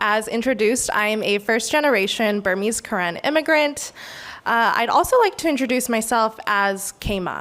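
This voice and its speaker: In a West Coast US accent, a woman speaks at a moderate pace and a fairly high pitch with ordinary pitch variation, in a very clean recording with a silent background. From US Pacific Northwest, Portland. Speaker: community speaker. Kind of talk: public speech. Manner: hesitant, many fillers.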